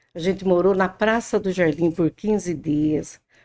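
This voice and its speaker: A woman speaks in a fairly low voice with a dark, mellow tone. Her pitch varies in an ordinary way. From Brazil, interior of São Paulo state. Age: 60s. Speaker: podcast guest. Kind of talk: interview, life story.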